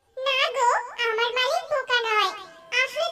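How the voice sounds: Using a cartoonish character voice at an extremely high pitch, a woman speaks at a fairly slow pace with clear music in the background.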